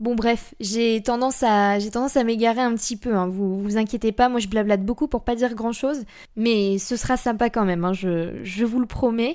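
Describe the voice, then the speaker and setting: On a very clean recording with a silent background, a woman with a fairly high pitch speaks at a moderate pace with fairly even intonation. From central France (Blois, Loir-et-Cher). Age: 20s. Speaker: podcast host. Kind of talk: casual monologue. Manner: chatty, rambling.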